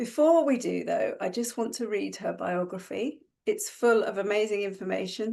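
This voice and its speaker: A woman speaks at a fairly high pitch in a dark, mellow tone with vocal fry and ordinary pitch variation. Her pace is moderate, with hardly any pauses. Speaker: interviewer and host of a video interview series. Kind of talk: interview host questions.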